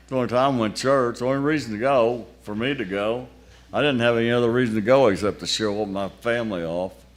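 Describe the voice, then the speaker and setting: Speaking at a very fast pace, a man with a medium pitch and ordinary pitch variation is heard with audible room echo. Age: 80s+. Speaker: lay speaker at church festival. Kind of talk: sermon.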